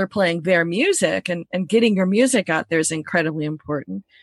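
A woman with a plain, everyday voice speaks at a moderate pace, the sound dry and close with no echo and the background quiet. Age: 50s. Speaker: music industry educator. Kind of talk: interview.

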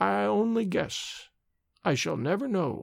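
On a very clean recording with a silent background, a put-on character voice at a middle pitch moves fairly slowly, its pitch swinging very widely. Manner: slow, hesitant.

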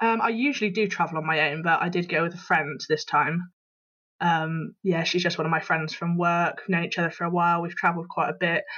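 A woman with a Bristol accent, fairly low in pitch, bright and sharp in tone, fairly quick, with fairly even intonation. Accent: Bristol West Country English. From Bristol, England. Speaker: travel blogger. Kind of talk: casual interview, recounting trip. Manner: casual, hesitant with fillers.

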